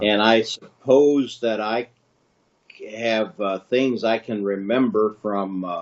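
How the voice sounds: The pace is slow. Pitch variation is ordinary. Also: man, fairly low pitch for a man.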